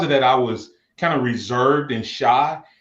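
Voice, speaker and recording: Speaking in a Southern US accent, a man with a medium pitch talks at a fairly slow pace. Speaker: football coach and pastor. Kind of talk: interview. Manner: boisterous.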